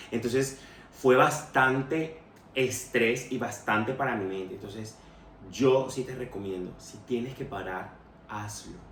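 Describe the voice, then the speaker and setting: A man at medium pitch, fairly slow and with ordinary pitch variation, big swings in loudness, audible room echo and noticeable background noise. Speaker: podcast host sharing personal experience. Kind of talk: personal testimony monologue.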